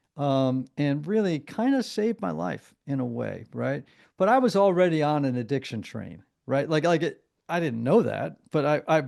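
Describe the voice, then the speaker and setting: Against a quiet background, a man with an American accent speaks at a moderate pace and a fairly high pitch, making very wide pitch swings. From US Northeast, southern Connecticut. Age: 60s. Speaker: therapist and recovering alcoholic. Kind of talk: counseling interview. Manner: halting.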